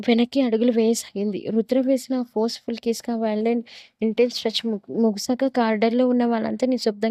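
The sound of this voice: The voice reads in an unforced way.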